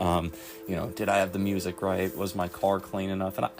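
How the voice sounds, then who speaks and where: There is music in the background as a man speaks. His voice is very deep and low, at a moderate pace. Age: 30s. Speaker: recovery vlogger. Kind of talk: personal reflection monologue. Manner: halting, many fillers.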